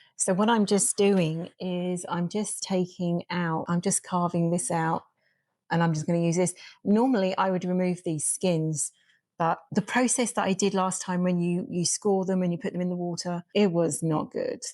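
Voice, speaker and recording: A woman's fairly low, dark, mellow voice at a moderate pace, dry and close with no echo, on a very clean recording with a silent background. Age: 50s. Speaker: homesteader. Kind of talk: casual cooking vlog talk to camera. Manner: rambling, casual.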